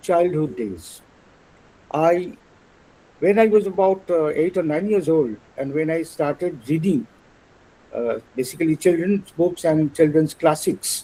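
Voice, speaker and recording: Dark, mellow tone from a man with high pitch, ordinary pitch variation and a fairly slow pace. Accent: Bengali. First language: Bengali. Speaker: translator and illustrator. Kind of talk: lecture. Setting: webinar. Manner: halting.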